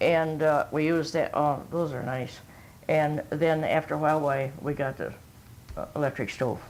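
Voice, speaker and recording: With an Upper Midwest accent, a woman speaks at a moderate pace in a very deep, low pitch and a monotone, flat intonation. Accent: Upper Midwest American. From northern Michigan, US. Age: 90s. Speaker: oral history interviewee. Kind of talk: oral history interview. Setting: at a relative's home. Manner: halting.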